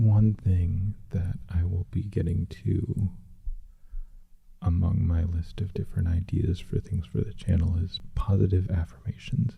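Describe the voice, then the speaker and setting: Soft-spoken and very deep in pitch, a man speaks at a fairly slow pace with fairly even intonation against noticeable background noise. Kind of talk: casual talk to camera.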